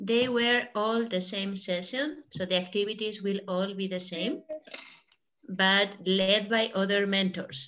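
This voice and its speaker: In a Spanish accent, a woman speaks fairly slowly at a medium pitch with ordinary pitch variation. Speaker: online workshop facilitator. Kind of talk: casual chat.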